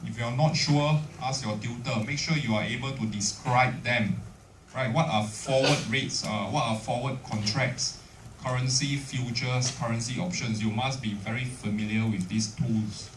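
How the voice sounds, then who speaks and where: A man at a medium pitch and a moderate pace with ordinary pitch variation, amid audible room echo and noticeable background noise. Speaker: university lecturer. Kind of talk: lecture.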